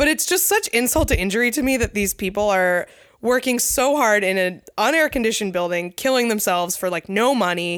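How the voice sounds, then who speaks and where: In a plain, everyday voice, a woman talks at a fairly quick pace and a fairly high pitch, with lively intonation and very even loudness. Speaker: podcast co-host, wrestling enthusiast. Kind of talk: casual chat. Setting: house basement.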